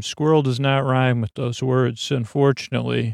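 A man talks at a medium pitch, moving fairly slowly and varying his pitch in an ordinary way. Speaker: podcaster. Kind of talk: bedtime story for sleep, meandering talk. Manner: slow, relaxed, soothing.

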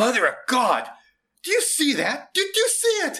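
A man's put-on character voice, extremely high, bright and sharp, with very wide pitch swings and audible room echo. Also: moderate pace.

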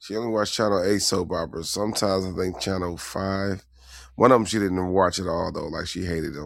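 A man with a very deep, low pitch speaks in an animated tone at a fairly quick pace. The recording is very clean, with a silent background. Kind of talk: casual chat.

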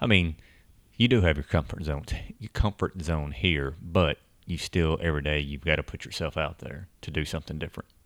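In a very clean, silent recording with a dry, close sound and no echo, a man with a Southern US accent speaks fairly quickly at a very deep, low pitch, his loudness swinging widely. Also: ordinary pitch variation. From Tennessee, US South. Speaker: podcast host, expat. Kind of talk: casual chat, podcast conversation.

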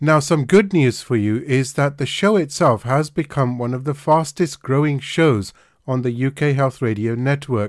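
A man with a plain, everyday voice, fairly high-pitched, at a moderate pace with ordinary pitch variation, on a very clean recording with a silent background. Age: 50s. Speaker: homeopath and podcast host. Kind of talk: casual interview.

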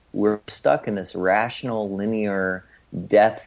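The background is quiet as a man talks in an ordinary speaking voice. His pitch is fairly low and his intonation fairly even. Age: 30s. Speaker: author and healer. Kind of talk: interview conversation.

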